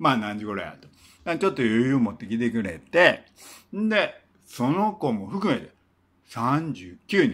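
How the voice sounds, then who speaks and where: A man speaks at a fairly slow pace with a Kansai accent and a medium pitch, leaving long, frequent pauses. His pitch swings very widely and his loudness swings a lot. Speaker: singer-songwriter and former teacher; former teacher. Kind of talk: casual storytelling monologue. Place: home room. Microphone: phone near.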